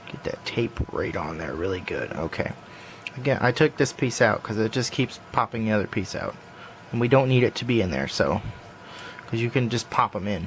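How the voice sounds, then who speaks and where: Noticeable background noise sits under a man speaking in a relaxed tone. His intonation is lively and his pace moderate. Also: medium pitch for a man. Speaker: puzzle hobbyist tutorial maker. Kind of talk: tutorial. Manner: casual, relaxed.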